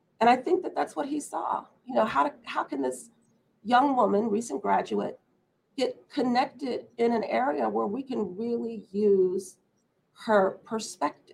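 A woman with an American accent speaks at a fairly high pitch with vocal fry. Her pitch swings very widely. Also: fairly slow pace. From US Midwest. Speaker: corporate human resources executive. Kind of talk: interview. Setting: remote video call.

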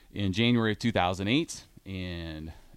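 Here a man speaks with a very deep, low pitch in a Midwestern American accent. The recording is very clean, with a silent background. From Iowa. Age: 40s. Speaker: radio host, gym owner. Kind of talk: casual radio chat.

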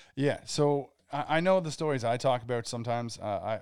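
The recording is very clean with a silent background, and the man on it shows ordinary pitch variation. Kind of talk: casual chat. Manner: animated.

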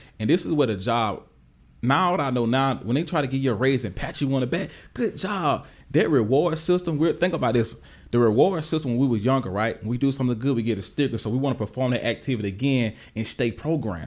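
Talking at a very fast pace in a Southern US accent, a man has an animated tone, lively intonation and medium pitch, recorded very cleanly over a silent background. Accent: country Southern US. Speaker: tech professional and wealth coach. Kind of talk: casual interview chat. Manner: animated, casual.

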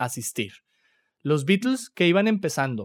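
A man's voice comes through on a very clean recording with a silent background. The sound is dry and close with no echo. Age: 30s. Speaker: podcast host. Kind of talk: casual chat. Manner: animated.

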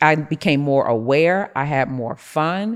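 A woman with an American accent and a very deep, low pitch, against a quiet background. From Rochester, New York, US. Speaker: prophetess and business CEO. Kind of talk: interview, faith and business talk.

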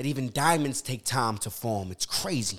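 A man's voice with an American accent and very wide pitch swings, on a very clean recording with a silent background. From Philadelphia, US. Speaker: poet. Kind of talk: casual interview chat; spoken word poetry performance. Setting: podcast studio. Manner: halting, many fillers; loud, projecting.

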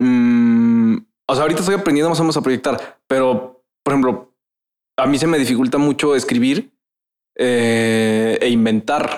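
In a plain, everyday voice, a man talks at a medium pitch and fairly slow pace, with ordinary pitch variation and very even loudness. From Veracruz, Mexico. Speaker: podcast host. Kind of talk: casual chat. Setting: studio. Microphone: echo in the room.

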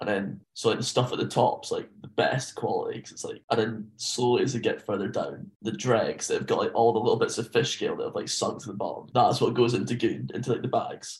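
A man with a Scottish accent speaks at a fairly quick pace. He hardly pauses. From Scotland (rural). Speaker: podcast guest, backpacker. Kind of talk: casual chat. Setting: video call.

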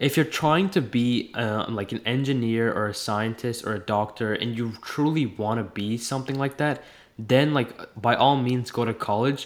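A man talks at a moderate pace, his pitch medium. It is an unremarkable speaking voice with ordinary pitch variation. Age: young. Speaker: entrepreneur. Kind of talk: casual chat.

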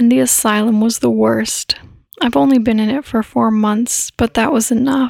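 This woman has a plain, everyday voice, pitched fairly high with ordinary pitch variation. Her loudness is very even, and the sound is dry and close with no echo. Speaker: sleep podcast narrator. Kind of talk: bedtime story narration, read aloud in a hushed, soothing tone. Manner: slow, calm, gentle and unhurried.

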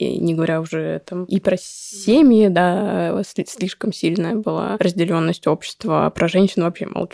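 With an ordinary speaking voice, a woman talks at a fairly slow pace with ordinary pitch variation, in a dry, close sound with no echo. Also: fairly low pitch for a woman. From Moscow, Russia. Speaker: psychologist and startup co-founder. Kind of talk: interview.

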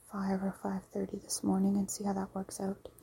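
The speaker is soft-spoken. Noticeable background noise runs underneath. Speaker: podcast host. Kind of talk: soft-spoken bedtime rambling. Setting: at home on a couch. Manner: halting.

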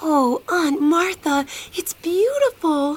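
A woman uses a put-on character voice pitched extremely high, with very wide pitch swings at a very slow pace. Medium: audio drama.

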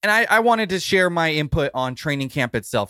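A man speaks at a fairly quick pace with a bright, sharp tone. The sound is dry and close, with no echo. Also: very clean recording, silent background. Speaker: sports site editor. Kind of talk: news commentary segment.

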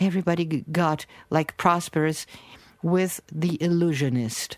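A woman with a Portuguese accent, fairly low-pitched, at a very slow pace. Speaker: researcher. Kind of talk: interview. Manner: animated.

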